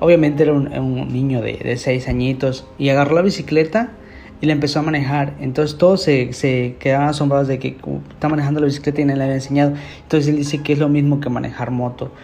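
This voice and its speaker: A man talks at a very fast pace with a fairly high pitch and fairly even intonation. There is audible room echo. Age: 20s. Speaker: podcast host. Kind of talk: casual monologue. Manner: hesitant.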